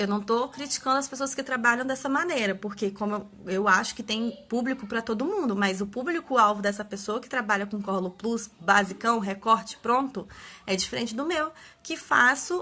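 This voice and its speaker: A woman talks at a moderate pace with a fairly high pitch and ordinary pitch variation. Her tone is bright and sharp. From Brazil, Espírito Santo (Vila Velha). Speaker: papercraft party-decor maker. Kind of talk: instagram live tutorial talk. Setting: live stream at home.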